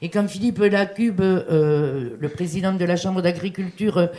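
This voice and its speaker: A woman talks at a moderate pace and medium pitch, her intonation fairly even. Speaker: business chamber president. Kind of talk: panel speech. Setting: seminar hall with microphone. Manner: hesitant, many fillers.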